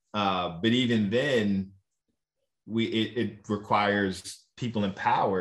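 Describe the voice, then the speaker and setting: A man with an unremarkable speaking voice talks with fairly even intonation in an American accent. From Virginia, Roanoke. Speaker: diversity and inclusion consultant. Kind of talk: live vodcast interview. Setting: video call.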